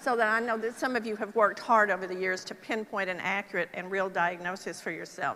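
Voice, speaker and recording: The tone is bright and sharp, delivered in a Texas accent. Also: woman. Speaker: Parkinson's nurse specialist speaker. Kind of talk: conference talk. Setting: stage with audience. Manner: conversational, with filler ums.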